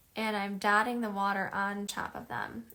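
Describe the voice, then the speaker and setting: Bright and sharp in tone, a woman speaks at a moderate pace with a Chicago accent. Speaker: art teacher. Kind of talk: tutorial. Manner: casual, many filler ums.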